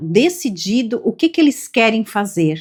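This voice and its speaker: A woman at a very slow pace, in a very clean recording with a silent background. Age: 50s. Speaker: self-development youtuber. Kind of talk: reflective monologue.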